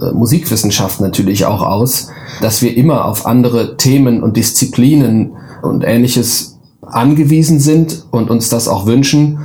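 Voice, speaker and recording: A man with a medium pitch speaks as noticeable background noise continues behind him. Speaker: professor. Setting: video call.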